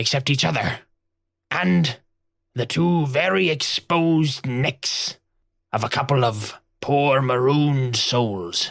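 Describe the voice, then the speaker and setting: A man performs a put-on character voice with a theatrical tone. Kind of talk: pirate storytelling. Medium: actual play. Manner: gruff, theatrical.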